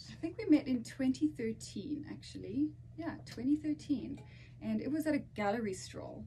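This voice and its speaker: In a South African accent, a woman speaks at a moderate pace. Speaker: podcast co-host. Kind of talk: casual chat.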